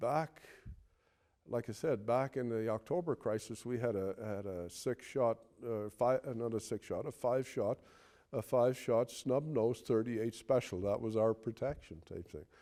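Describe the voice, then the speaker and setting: A man with a Newfoundland accent speaks at a moderate pace with a dark, mellow tone and ordinary pitch variation. The recording is very clean, with a silent background. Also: medium pitch for a man. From Newfoundland, Conception Bay South. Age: 60s. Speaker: retired police officer. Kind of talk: interview reminiscence. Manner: halting, many repetitions and fillers.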